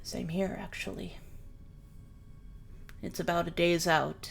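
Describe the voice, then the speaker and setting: Against clear background noise, a woman uses a put-on character voice at a fairly low pitch and a fairly slow pace. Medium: actual play. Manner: reserved, a little stiff.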